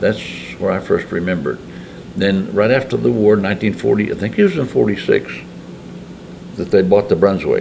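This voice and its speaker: A man with an American accent at a fairly quick pace, with long, frequent pauses and noticeable background noise. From Lindsborg, Kansas. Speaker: Korean War veteran. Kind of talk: interview answer. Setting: American Legion hall.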